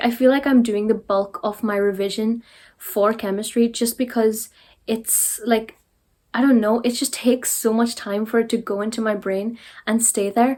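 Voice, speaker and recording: A woman with a Derry accent speaks at a moderate pace, her fairly high voice monotone and flat. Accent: Northern Irish, Derry. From Northern Ireland. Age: young. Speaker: sixth-form student. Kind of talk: casual talk to camera.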